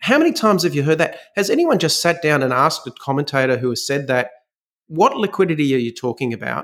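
A man with an Australian accent at a very fast pace, in a very clean recording with a silent background. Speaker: fund manager. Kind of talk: interview. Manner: halting.

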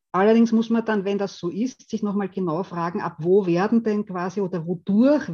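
Over a quiet background, a somewhat breathy voice with a dark, mellow tone moves at a moderate pace with ordinary pitch variation. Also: woman. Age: 50s. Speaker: theology professor and values researcher. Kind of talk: lecture. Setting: video call.

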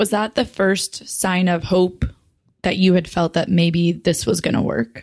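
An unremarkable speaking voice, with ordinary pitch variation, very even loudness and a fairly slow pace. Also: woman, medium pitch for a woman. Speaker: podcast co-host. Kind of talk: casual interview chat.

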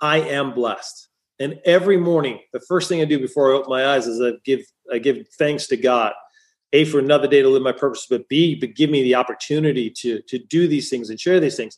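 A man speaks at a fairly quick pace in a normal speaking voice. His pitch is fairly high, with ordinary pitch variation. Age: 50s. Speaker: chiropractor turned business coach. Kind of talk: interview conversation.

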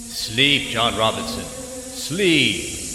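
A man puts on a character voice at a fairly high pitch, with a clear echo and loud background noise. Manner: soothing, sinister.

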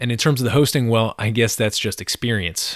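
The recording is very clean, with a silent background, a dry, close sound with no echo, and ordinary pitch variation. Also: man. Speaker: podcast host. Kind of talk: interview. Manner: animated.

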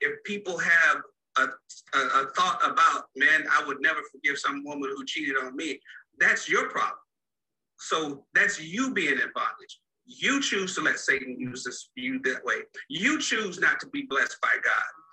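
A man with a Texan accent at a moderate pace. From Dallas, Texas. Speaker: marriage coach. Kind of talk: interview.

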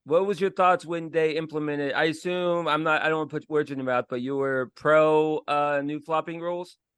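A man with an American accent and an ordinary speaking voice talks at a fairly quick pace with hardly any pauses. His pitch is fairly high, his intonation fairly even, and the background quiet. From Florida. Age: 30s. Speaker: podcast host. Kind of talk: casual chat.

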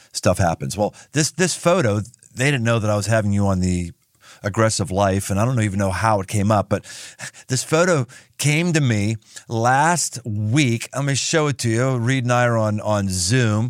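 With an ordinary speaking voice at medium pitch, a man talks at a moderate pace with lively intonation and very even loudness. The sound is dry and close with no echo, on a very clean recording with a silent background. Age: 50s. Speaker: podcast host and pastor. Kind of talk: interview conversation.

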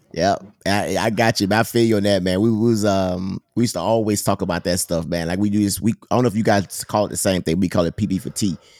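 In a Mississippi accent, a man talks at a very fast pace with hardly any pauses, fairly low pitch and fairly even intonation. The sound is dry and close, with no echo. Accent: Southern, Mississippi. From Mississippi, US South. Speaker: Navy sailor, podcast co-host. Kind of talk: casual interview chat. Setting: remote call recording.

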